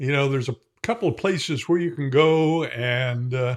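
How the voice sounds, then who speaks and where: In an American accent, a man talks at a moderate pace in a fairly high pitch with ordinary pitch variation. The recording is very clean, with a silent background. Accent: slight Hoosier accent, mostly trained out. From Indiana, US Midwest. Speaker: shaving product reviewer. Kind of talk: casual product review tutorial. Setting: home shave room. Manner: relaxed, with frequent fillers.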